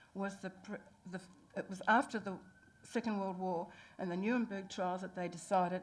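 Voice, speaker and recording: The voice, with a New Zealand accent, keeps a fairly even intonation. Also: woman. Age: 60s. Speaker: public submitter. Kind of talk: public hearing submission. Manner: halting.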